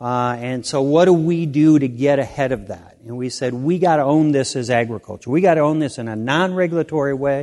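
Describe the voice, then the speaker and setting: Speaking in a Midwestern American accent, a man has a fairly high pitch and ordinary pitch variation. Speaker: farmer and state agriculture secretary. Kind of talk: keynote speech.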